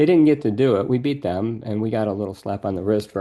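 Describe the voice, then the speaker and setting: The voice has a dark, mellow tone with ordinary pitch variation. The background is quiet. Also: man. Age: 60s. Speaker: professor. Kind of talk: interview.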